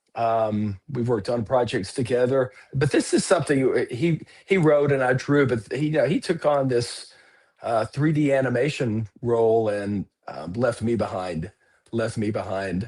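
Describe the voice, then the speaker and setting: An ordinary speaking voice, this man talks with an American accent at a moderate pace, with a medium pitch and ordinary pitch variation. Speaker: comic artist. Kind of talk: casual chat.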